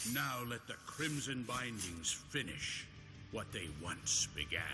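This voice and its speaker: Over loud background noise, a man does a put-on character voice at a medium pitch and a fairly slow pace. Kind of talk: solemn archaic liturgy. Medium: video game. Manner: grave, fervent.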